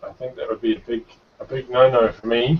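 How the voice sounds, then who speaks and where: Speech comes at a moderate pace. The voice carries a New Zealand accent. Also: man. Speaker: show host. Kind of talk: casual chat.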